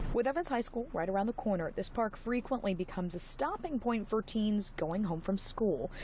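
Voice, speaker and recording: A woman speaks at a moderate pace with a fairly high pitch. She has a plain, everyday voice. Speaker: television news reporter. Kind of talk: broadcast news reporter standalone.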